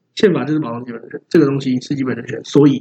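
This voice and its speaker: In a Taiwanese accent, a man speaks with a somewhat breathy, fairly high-pitched voice. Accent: Taiwanese Mandarin. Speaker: podcast co-host, hip-hop fan. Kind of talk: casual chat.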